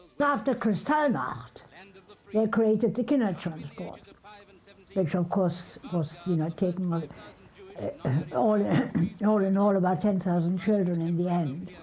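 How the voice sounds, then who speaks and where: Amid noticeable background noise, a woman with a medium pitch speaks at a fairly slow pace, with very even loudness and long, frequent pauses. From Germany, Berlin. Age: 80s+. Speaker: Holocaust survivor. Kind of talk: testimony.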